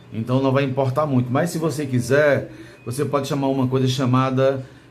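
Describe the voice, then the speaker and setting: Audible room echo surrounds a man's voice. His pitch is medium and his intonation fairly even. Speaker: bookbinding teacher. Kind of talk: tutorial. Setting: recording studio, alone with technician. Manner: casual, conversational.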